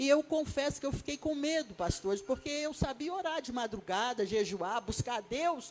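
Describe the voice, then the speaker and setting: A woman with a high pitch delivers her words fairly slowly, her intonation lively. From Brazil, Rio de Janeiro. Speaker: evangelist, guest preacher. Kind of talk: sermon. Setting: church.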